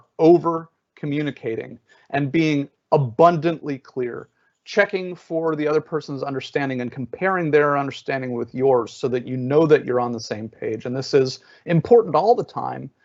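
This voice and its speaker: Over a quiet background, a man with a plain, everyday voice and fairly high pitch speaks at a moderate pace with ordinary pitch variation. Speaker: adaptability trainer, webinar speaker. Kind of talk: webinar presentation. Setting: online webinar software.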